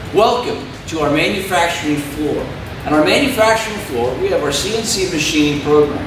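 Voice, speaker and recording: A man speaks at a fairly quick pace with audible room echo and noticeable background noise. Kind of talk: promotional tour presentation. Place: workshop.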